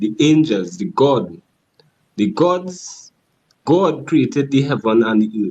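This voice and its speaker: A man with a strong Trinidadian accent speaks slowly-ish, at a fairly slow pace, in a dark, mellow tone at medium pitch with very wide pitch swings. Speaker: caller. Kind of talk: casual debate.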